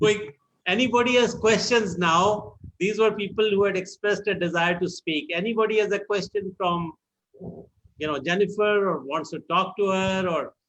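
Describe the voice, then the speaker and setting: This man has an Indian accent, a high-pitched voice and a moderate pace. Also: ordinary pitch variation. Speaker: meeting moderator. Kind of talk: online meeting moderation. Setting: video call.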